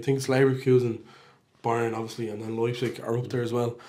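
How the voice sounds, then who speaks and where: Speaking very fast with an Irish accent, a man has a medium pitch and a dark, mellow tone. His intonation is fairly even, and audible room echo surrounds the voice. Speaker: football podcast host. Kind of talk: casual chat.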